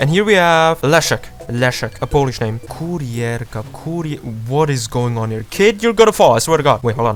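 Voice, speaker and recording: A man's fairly high voice with a Czech accent, lively intonation, moderate pace and hardly any pauses, music in the background. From Czech Republic. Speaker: gaming YouTuber. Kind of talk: casual gameplay commentary. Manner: animated.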